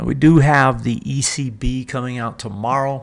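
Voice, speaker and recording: The male speaker's medium pitch comes through in a very clean recording with a silent background. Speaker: market analyst, trading show host. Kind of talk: daily market commentary. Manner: halting, many fillers; casual, conversational.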